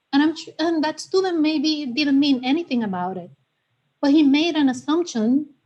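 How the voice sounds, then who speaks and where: A woman with a Spanish accent speaks in a high pitch with a dark, mellow tone. Her intonation is lively, and her loudness swings widely. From Puerto Rico. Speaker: community member at town committee meeting. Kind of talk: personal testimony at public meeting.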